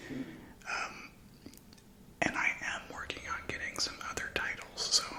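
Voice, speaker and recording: A whisper at a very slow pace. Background noise is noticeable. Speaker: ASMR creator. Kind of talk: ASMR magazine reading, casual talk to camera. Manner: soft-spoken, whispered.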